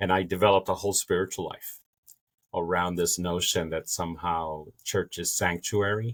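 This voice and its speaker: A man with a Spanish accent and a very deep, low pitch speaks at a moderate pace in a flat monotone, on a very clean recording with a silent background. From Dominican Republic, raised in New Orleans. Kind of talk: podcast interview, personal testimony.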